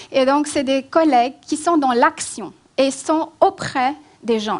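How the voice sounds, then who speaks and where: The speaker is a woman with a high voice. She talks fairly slowly. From Romania, then France. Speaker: migration policy expert. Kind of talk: public lecture. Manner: hesitant, many fillers.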